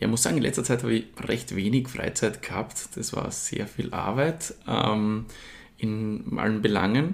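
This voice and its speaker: At a fairly slow pace, a man uses an ordinary speaking voice at medium pitch with ordinary pitch variation. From Austria, Styria (Murtal). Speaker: cider company co-founder, business student. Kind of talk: interview.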